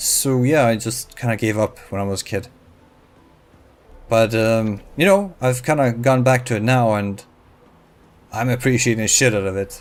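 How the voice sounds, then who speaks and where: This man talks at a moderate pace in a relaxed tone, his pitch medium with ordinary variation, and he leaves long, frequent pauses. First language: not English (English is third language). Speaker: gaming YouTuber. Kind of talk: casual gameplay commentary. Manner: halting, many fillers.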